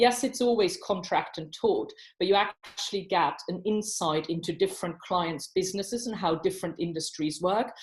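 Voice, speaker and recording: This woman has a slight non-native accent and a somewhat breathy voice at medium pitch. She keeps a moderate pace with ordinary pitch variation. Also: quiet background. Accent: slight foreign. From abroad, non-Commonwealth country. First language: not English. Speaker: barrister. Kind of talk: panel talk at online professional event.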